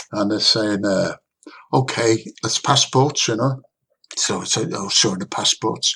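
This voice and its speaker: Speaking at a moderate pace with a Liverpool accent, a man has a bright, sharp tone and vocal fry. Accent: Liverpool (Scouse) English. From northern England, Liverpool. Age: 80s+. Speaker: saxophonist. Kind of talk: interview storytelling.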